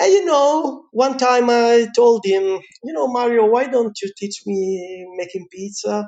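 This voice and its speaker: An extremely high-pitched man with lively intonation at a fairly slow pace. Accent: slight Italian. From Italy. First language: Italian. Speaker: pizza chef. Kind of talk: interview. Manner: animated.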